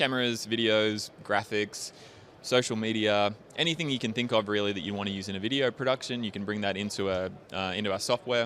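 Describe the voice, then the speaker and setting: With an Australian accent, a man speaks at a fairly quick pace with a fairly low pitch and fairly even intonation. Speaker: software company representative. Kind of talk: interview.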